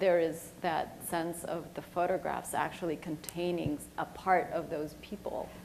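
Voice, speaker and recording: A woman's fairly low voice, fairly slow and fairly even in intonation, over noticeable background noise. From El Salvador. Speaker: moderator. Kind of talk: panel discussion.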